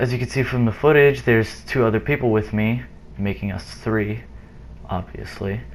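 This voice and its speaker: A man's fairly low voice with ordinary pitch variation at a moderate pace, over noticeable background noise. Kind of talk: gameplay commentary.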